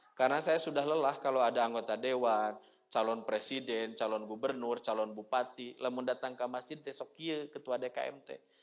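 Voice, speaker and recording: This is a normal speaking voice, moving at a moderate pace with fairly even intonation. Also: man, big swings in loudness. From West Java, Tasikmalaya (Sundanese region). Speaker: Islamic preacher. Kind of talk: religious lecture. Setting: mosque.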